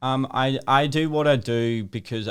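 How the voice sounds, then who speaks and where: A man with an Australian accent. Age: 20s. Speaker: social media video creator. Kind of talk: interview. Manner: articulate, well-spoken.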